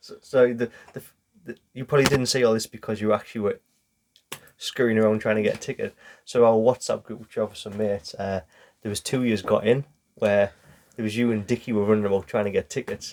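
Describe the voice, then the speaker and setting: Very fast and monotone, a man with a Geordie accent speaks at a medium pitch, leaving long, frequent pauses. The sound is dry and close with no echo. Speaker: football podcast host. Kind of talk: casual chat.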